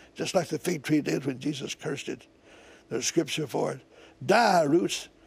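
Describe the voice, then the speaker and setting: Speaking at a moderate pace, a man with a fairly high pitch and vocal fry shows ordinary pitch variation. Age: 80s+. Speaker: evangelist and former businessman. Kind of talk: prayer. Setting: TV studio.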